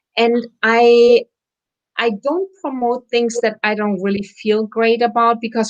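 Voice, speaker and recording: A woman speaks in a German accent at a fairly high pitch. Her pace is fairly slow. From Germany. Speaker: wellness center owner. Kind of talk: interview chat.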